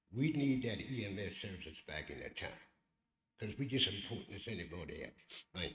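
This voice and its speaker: A fairly low-pitched man with an American accent, fairly quick and lively in intonation, with big swings in loudness and audible room echo. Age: 70s. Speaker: local community representative. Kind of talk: public comment at council meeting. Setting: county council meeting.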